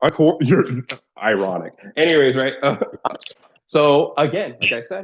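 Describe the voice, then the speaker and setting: A man with a fairly high pitch, vocal fry and lively intonation, at a moderate pace broken by long, frequent pauses. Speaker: online debater. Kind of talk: heated debate.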